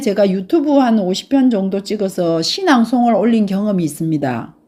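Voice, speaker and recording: Her intonation is lively and her pitch fairly high. This woman speaks at a moderate pace. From Gyeongsang province, South Korea. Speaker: travel YouTuber. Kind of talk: casual vlog talk. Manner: unpolished, awkward.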